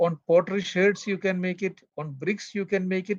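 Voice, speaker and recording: A man with a Keralan accent talks at a moderate pace and a high pitch, the sound dry and close with no echo. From Kerala, India. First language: Malayalam. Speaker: archaeologist. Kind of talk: interview. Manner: halting.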